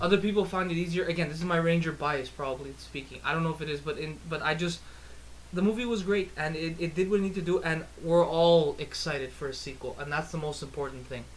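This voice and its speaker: Pitched fairly high, a man talks at a very fast pace. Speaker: podcast host. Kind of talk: casual movie review chat. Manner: animated.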